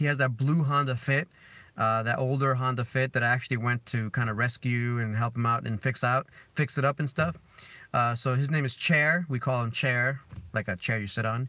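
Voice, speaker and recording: A man with a slight Spanish accent talks at a fairly quick pace, his tone bright and sharp. His intonation stays fairly even, and the recording is very clean with a silent background. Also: medium pitch for a man. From Dominican Republic. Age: 30s. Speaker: car vlogger. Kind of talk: live stream chat.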